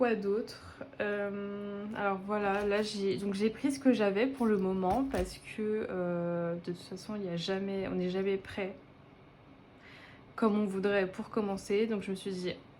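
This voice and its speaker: Audible room echo surrounds a woman of medium pitch who speaks at a very slow pace with fairly even intonation. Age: 20s. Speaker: budgeting vlogger. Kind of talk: casual vlog monologue. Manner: hesitant, many filler words.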